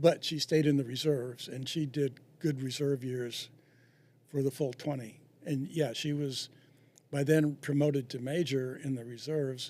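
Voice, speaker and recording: A man speaks at a fairly high pitch and a moderate pace. His intonation is monotone and flat. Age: 70s. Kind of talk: interview. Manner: halting.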